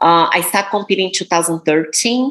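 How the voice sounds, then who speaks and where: A woman talks with a Brazilian Portuguese accent. Her pitch varies in an ordinary way. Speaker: professional bodybuilder. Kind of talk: interview.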